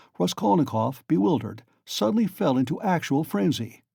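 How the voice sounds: The clip carries a natural reading voice. That voice reads from start to finish.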